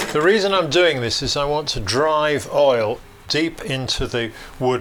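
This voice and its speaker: Noticeable background noise sits behind a man with a fairly high pitch. He talks at a fairly slow pace with lively intonation. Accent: English. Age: 60s. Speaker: bagpipe maker. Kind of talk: documentary interview. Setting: workshop. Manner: hesitant, with fillers.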